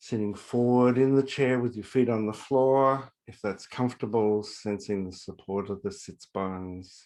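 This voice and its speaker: Against a quiet background, a man talks at a fairly slow pace in an ordinary speaking voice with ordinary pitch variation. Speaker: university faculty member leading guided meditation. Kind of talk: guided meditation. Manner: calm, soft-spoken, slow.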